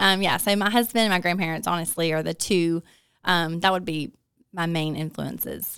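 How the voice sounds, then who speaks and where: In a Southern US accent, a woman speaks in a fairly low voice with fairly even intonation. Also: moderate pace, very clean recording, silent background. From north Alabama (Hartselle). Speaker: small business manager. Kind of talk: interview.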